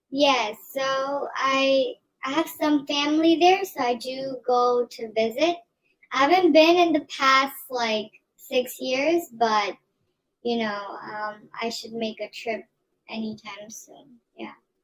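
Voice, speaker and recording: In an American accent, a woman with a high pitch and ordinary pitch variation speaks at a very slow pace. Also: big swings in loudness. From US South, Atlanta, Georgia. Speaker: online English tutor. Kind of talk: casual chat. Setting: video call.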